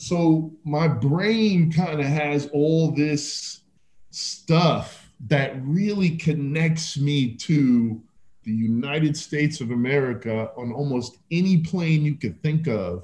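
A man speaks at a very slow pace. His voice is fairly high and somewhat breathy. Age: 50s. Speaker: fitness entrepreneur. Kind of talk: casual chat.

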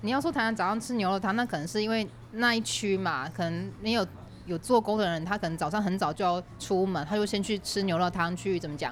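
A woman of medium pitch talks very fast, with ordinary variation in pitch. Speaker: podcast host, guest on another show. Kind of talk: casual chat. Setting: cafe.

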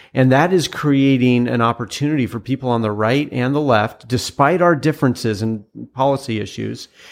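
Against a quiet background, a man with an American accent and an unremarkable speaking voice talks at a fairly quick pace, medium in pitch with lively intonation. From Washington State, US Pacific Northwest. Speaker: former presidential candidate. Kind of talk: interview conversation.

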